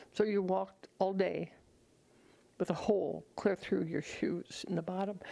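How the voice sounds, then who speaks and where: A woman's medium-pitched voice with vocal fry and monotone, flat intonation. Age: 80s+. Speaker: nonprofit volunteer founder. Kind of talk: interview testimony. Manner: halting.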